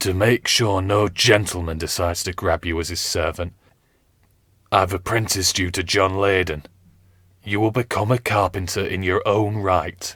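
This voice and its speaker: A man puts on a character voice that is hoarse and very deep, low in pitch. He keeps a moderate pace with fairly even intonation. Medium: read story. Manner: grave, commanding.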